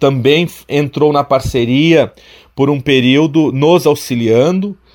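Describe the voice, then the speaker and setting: A man with a plain, everyday voice. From Santa Catarina, Alto Vale region. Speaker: college professor and administrator. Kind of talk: radio interview. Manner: formal.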